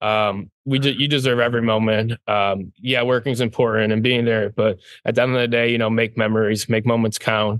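A man with an American accent speaks fairly quickly at a medium pitch, his delivery flat and monotone with hardly any pauses. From Michigan. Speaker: distillery co-founder. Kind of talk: casual interview.

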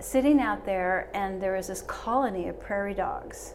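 There is noticeable background noise as a woman speaks fairly slowly. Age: 70s. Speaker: interior designer. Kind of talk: casual chat. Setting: studio.

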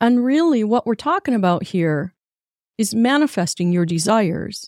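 A woman with a dark, mellow tone and fairly high pitch speaks at a moderate pace. The recording is very clean, silent in the background, with a dry, close sound and no echo. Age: 60s. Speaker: motivational talk show host. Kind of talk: motivational monologue.

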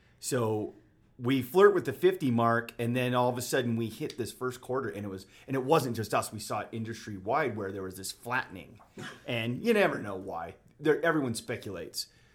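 With an American accent, a man in an unremarkable speaking voice talks at a fairly quick pace and medium pitch, his intonation lively and his loudness swinging widely. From Utah, Davis County (Bountiful). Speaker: real estate agent. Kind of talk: casual interview chat. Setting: studio.

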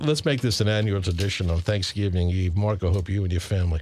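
A man's fairly low voice with ordinary pitch variation, a plain, everyday voice. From Long Island, New York (Suffolk County). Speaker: radio host. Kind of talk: radio interview.

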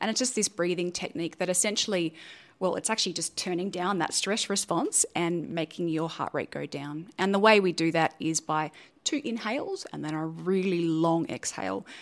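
A woman with an Australian accent, fairly low in pitch, with ordinary pitch variation and a moderate pace, on a very clean recording with a silent background. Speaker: neuroscientist and science communicator. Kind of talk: interview.

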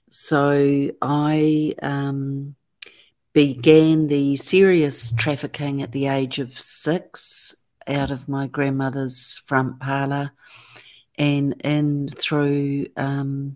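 A woman with a New Zealand accent, very deep and low in pitch, monotone and flat, at a very slow pace in a very clean recording with a silent background. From New Zealand, Auckland. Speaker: author and abuse survivor advocate. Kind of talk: interview testimony.

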